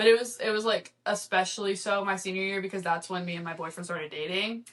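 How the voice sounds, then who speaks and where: Speaking in a Texan accent, a woman talks very fast at a medium pitch with fairly even intonation. Her loudness swings a lot. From Texas, near Houston. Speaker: podcast guest, college student. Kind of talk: casual chat.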